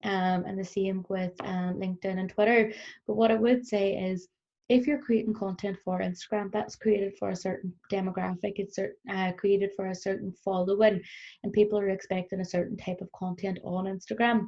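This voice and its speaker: A woman with a Northern Irish accent, somewhat breathy, at a medium pitch and a fairly quick pace, with fairly even intonation. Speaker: business trainer. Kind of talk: recorded workshop presentation. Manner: fast; frequent fillers (um).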